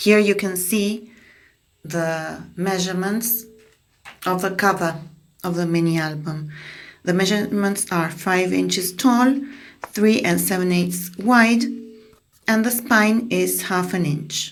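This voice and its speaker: Someone speaks at a very slow pace with long, frequent pauses and ordinary pitch variation amid audible room echo. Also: woman, medium pitch for a woman. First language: Spanish. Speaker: craft tutorial creator. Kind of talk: tutorial voiceover. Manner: halting, with repetitions and fillers.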